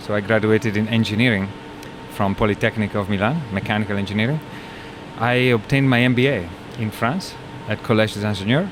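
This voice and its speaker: There is noticeable background noise. The speech moves at a fairly quick pace. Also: man. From northern Italy. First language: Italian. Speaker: company CEO. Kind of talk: interview.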